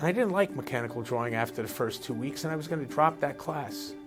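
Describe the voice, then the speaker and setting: A man's pitch leaps up and down dramatically while music plays behind him. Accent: New Jersey. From New Jersey, USA. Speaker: architect and urban planner. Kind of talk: interview answer.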